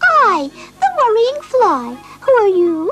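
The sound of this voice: With faint music in the background, a cartoonish character voice squeaks at an extremely high pitch, moving at a fairly slow pace with very wide pitch swings.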